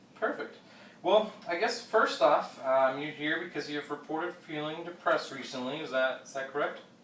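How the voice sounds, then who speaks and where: A man speaks with big swings in loudness, audible room echo and noticeable background noise. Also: fairly high pitch for a man, ordinary pitch variation. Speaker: therapist in role-play. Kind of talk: role-play therapy session. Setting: office. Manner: fast.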